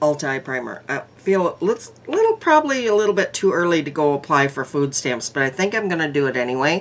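Speaking at a fairly quick pace, a woman has a very deep, low pitch. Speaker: makeup vlogger. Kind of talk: casual vlog chat. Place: home room. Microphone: phone near.

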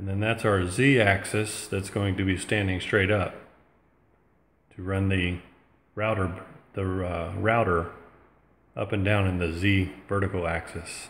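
A man's fairly low, monotone voice at a fairly slow pace, with long, frequent pauses and light background noise. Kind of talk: tutorial. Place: home room. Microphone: phone near.

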